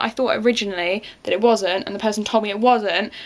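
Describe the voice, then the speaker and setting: A woman speaks at a very fast pace. Noticeable background noise runs underneath. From England. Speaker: book vlogger. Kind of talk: casual vlog. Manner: animated.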